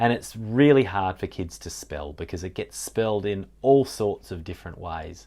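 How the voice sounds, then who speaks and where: A man with a South Australian accent. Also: very clean recording, silent background. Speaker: specialist literacy teacher. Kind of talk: tutorial. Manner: deliberate, articulating sounds carefully.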